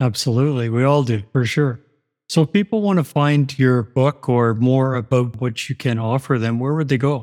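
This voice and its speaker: In a plain, everyday voice, a man talks at a moderate pace and medium pitch with ordinary pitch variation. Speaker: radio host. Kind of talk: interview.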